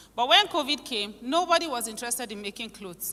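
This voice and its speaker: Her voice is fairly high, with a Nigerian accent and very wide pitch swings. Noticeable background noise sits behind this woman. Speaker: conference speaker. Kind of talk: conference speech.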